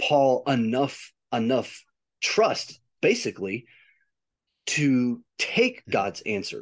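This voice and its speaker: A man talks in an ordinary speaking voice with a fairly high pitch. The background is quiet. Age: 40s. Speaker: podcast co-host. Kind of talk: casual chat about faith.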